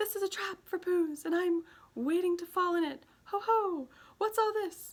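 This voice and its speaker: A woman does a put-on, squeaky character voice at an extremely high pitch. Her pace is moderate. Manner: flustered, unsettled; speaking very quickly.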